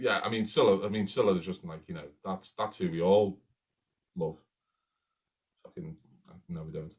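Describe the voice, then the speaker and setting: This man has a Liverpool accent and a fairly low pitch, speaking at a moderate pace with lively intonation. His loudness swings widely, and he leaves long, frequent pauses. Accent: Liverpool (Scouse). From Liverpool, England. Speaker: crime writer, podcast co-host. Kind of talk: live-streamed casual chat, Q&A. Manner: animated.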